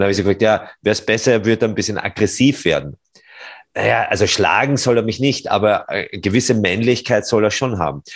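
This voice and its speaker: Speaking very fast with vocal fry, a man uses a fairly low pitch and ordinary pitch variation in a very clean recording with a silent background. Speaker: podcast host, former civil engineer. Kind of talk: interview. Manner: louder when excited.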